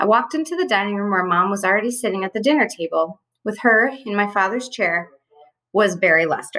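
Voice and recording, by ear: Reading aloud in a natural voice, the speaker uses lively intonation against a quiet background.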